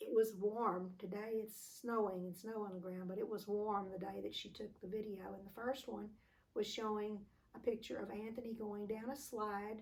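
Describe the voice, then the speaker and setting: A woman with an American accent speaks at a medium pitch and a moderate pace. Her intonation is monotone and flat, with noticeable background noise behind it. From Texas. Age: 80s+. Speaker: family elder interviewed. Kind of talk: oral history interview. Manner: halting.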